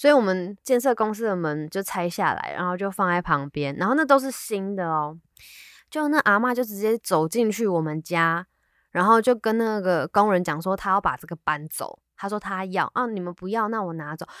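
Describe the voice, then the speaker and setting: In a Taiwanese accent, a woman speaks at a moderate pace and a medium pitch with lively intonation. The sound is dry and close with no echo, on a very clean recording with a silent background. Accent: Taiwanese Mandarin. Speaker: podcast co-host. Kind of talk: casual chat.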